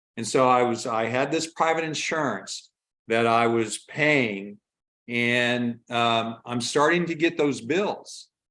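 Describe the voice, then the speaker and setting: Slowly, very slowly, a man speaks at a medium pitch with ordinary pitch variation. His tone is bright and sharp. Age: 60s. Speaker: retired minister sharing a health story. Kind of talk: personal testimony in interview. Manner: halting, many fillers.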